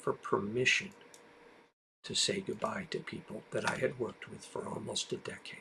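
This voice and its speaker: A man is speaking. His pace is moderate. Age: 60s. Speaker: streamer. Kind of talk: live stream monologue. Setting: live stream.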